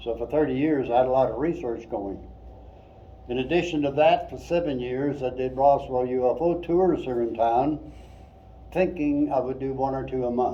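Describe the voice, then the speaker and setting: A man of medium pitch speaks at a moderate pace with fairly even intonation. Room echo is audible. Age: 80s+. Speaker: retired engineer and UFO researcher. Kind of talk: museum presentation.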